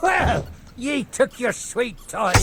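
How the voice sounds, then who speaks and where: A put-on character voice at a fairly high pitch, with clear background noise behind it. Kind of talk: pirate theatrics. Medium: machinima. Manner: grandiose, wheedling.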